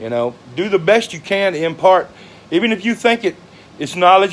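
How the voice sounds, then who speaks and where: A man with a Southern US accent talks at a fairly quick pace with very wide pitch swings, with noticeable background noise behind him. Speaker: social media personality. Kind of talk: casual monologue. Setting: livestream. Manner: halting.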